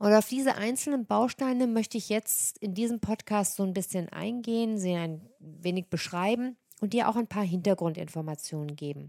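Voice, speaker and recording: A woman's medium-pitched voice with a dark, mellow tone, ordinary pitch variation and a moderate pace, hardly any pauses, in a dry, close sound with no echo on a very clean recording with a silent background. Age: 40s. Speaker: nutrition coach and podcast host. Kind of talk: solo monologue about own services.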